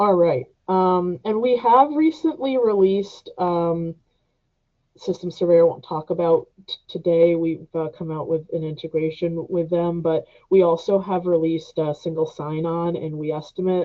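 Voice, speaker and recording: In a normal speaking voice, a woman with a fairly low pitch talks at a fairly slow pace with ordinary pitch variation. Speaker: software trainer. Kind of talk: webinar tutorial. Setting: online webinar.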